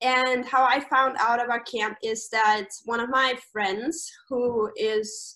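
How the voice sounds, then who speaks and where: A woman with a German accent speaks at a high pitch in a bright, sharp tone. She goes at a very slow pace with fairly even intonation. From Austria. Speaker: camp staff member. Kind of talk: casual interview.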